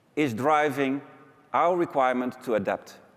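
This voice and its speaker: The speaker is a man. He talks with a Dutch accent. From Netherlands. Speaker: business executive. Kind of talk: conference keynote.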